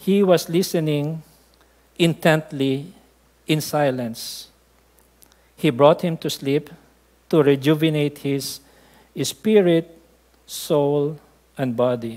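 Slowly and with long, frequent pauses, a man speaks at a fairly high pitch in a slightly mellow tone with ordinary pitch variation.

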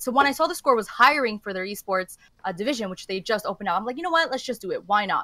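Against a quiet background, a woman talks very fast in a bright, sharp, fairly high voice with lively intonation, and the sound is dry with no echo. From Canada. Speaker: esports journalist. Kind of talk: casual chat. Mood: relaxed, animated. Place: home room.

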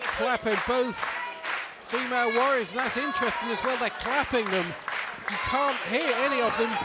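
Over crowd noise in the background, the voice moves at a moderate pace with a dry sound and no echo.

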